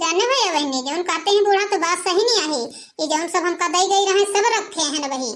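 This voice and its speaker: A woman in a cartoonish character voice sounds squeaky and extremely high-pitched, with lively intonation and a fairly quick pace. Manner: defensive, pleading.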